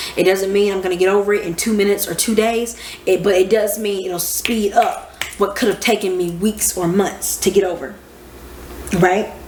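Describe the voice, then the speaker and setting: In an animated tone, a woman speaks at a moderate pace and medium pitch, with noticeable background noise and audible room echo. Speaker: astrology teacher. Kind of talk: casual lecture. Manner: loud. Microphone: microphone far away.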